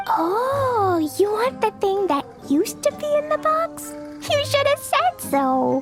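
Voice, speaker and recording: Someone uses a put-on character voice at a fairly slow pace. Clear music plays in the background. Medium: machinima. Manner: casual, evasive.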